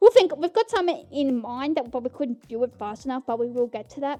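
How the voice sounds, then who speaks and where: Loud and high-pitched, a woman speaks at a fairly quick pace. Her pitch varies in an ordinary way. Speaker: podcast host. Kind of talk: casual chat. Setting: home recording in bedroom. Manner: animated.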